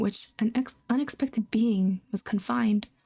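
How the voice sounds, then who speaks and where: A soft-spoken woman talks in a fairly high pitch. Her tone is dark and mellow, and her voice is somewhat breathy. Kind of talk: soft-spoken ASMR book reading, casual talk.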